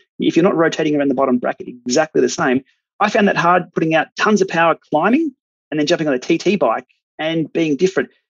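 A high-pitched man with an Australian accent at a very fast pace, with ordinary pitch variation. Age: 40s. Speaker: cycling tech YouTuber and masters cyclist. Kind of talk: casual interview chat.

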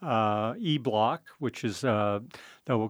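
The speaker is a man with an American accent. Behind him, the background stays quiet. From US West Coast, San Francisco. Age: 60s. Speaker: winemaker. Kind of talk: interview. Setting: studio. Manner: hesitant, many fillers.

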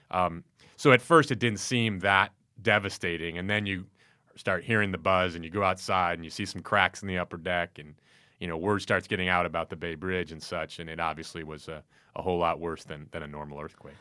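In a very clean recording with a silent background, a man with an American accent speaks at a fairly quick pace, his very deep, low pitch carrying a bright, sharp tone and ordinary pitch variation. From Chicago, US Midwest. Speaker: newspaper sportswriter. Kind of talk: casual chat.

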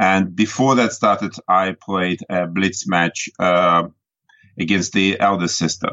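A man speaks very slowly in a very deep, low pitch. His intonation is fairly even and his loudness very even. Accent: Russian. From Russia. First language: Russian. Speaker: chess grandmaster and coach. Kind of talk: interview. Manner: halting, many fillers.

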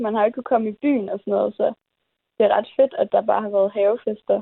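At a very fast pace, a woman with a fairly high pitch talks in a monotone, flat intonation. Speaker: recent high school graduate. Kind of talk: interview.

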